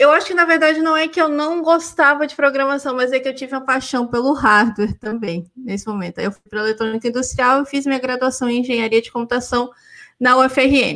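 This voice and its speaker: A woman with a high pitch and a bright, sharp tone speaks at a fairly quick pace with big swings in loudness. The recording is very clean, the background silent. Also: ordinary pitch variation. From Brazil, Goiás and Rio Grande do Norte. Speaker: PhD student and former university lecturer. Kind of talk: casual interview.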